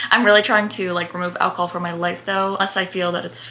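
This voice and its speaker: A woman talks with an American accent as noticeable background noise carries on behind her. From New Jersey, Bergen County. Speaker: lifestyle and fitness content creator. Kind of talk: casual Q&A chat to camera. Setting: at home in her bedroom. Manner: animated, chatty.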